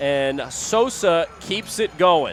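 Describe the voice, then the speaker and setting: A man talks with lively intonation. Behind him, music is playing. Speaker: minor league baseball play-by-play broadcaster. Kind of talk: sports play-by-play broadcast.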